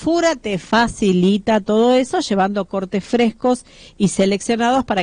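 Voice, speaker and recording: In a quiet background with a dry, close sound and no echo, a woman speaks at a fairly slow pace with a Rioplatense accent and ordinary pitch variation. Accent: Argentine Rioplatense Spanish. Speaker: radio host. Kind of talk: sponsored food segment on radio.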